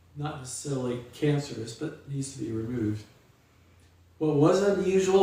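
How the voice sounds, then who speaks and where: A man speaks at a fairly high pitch. Audible room echo surrounds his voice. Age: 60s. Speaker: memoir author, quadriplegic. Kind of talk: reading aloud. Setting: live stream.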